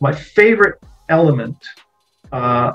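Faint music plays in the background. Over it, a man speaks. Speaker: voice actor. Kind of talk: interview answer. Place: home room. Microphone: video call.

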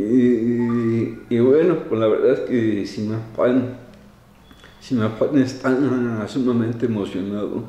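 A man at a very slow pace with fairly even intonation, in audible room echo. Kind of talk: interview answer. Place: office. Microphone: handheld.

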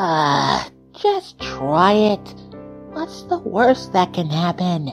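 Over faint music in the background, a woman performs a put-on character voice at a very slow pace, fairly low in pitch with big pitch swings, vocal fry and a slightly husky edge.

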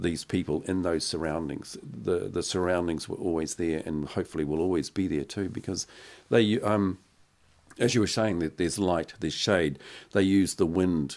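A man with a New Zealand accent, very deep and low in pitch, at a moderate pace with fairly even intonation. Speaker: podcast host. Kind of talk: casual chat. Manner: halting. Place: studio. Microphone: studio mic.

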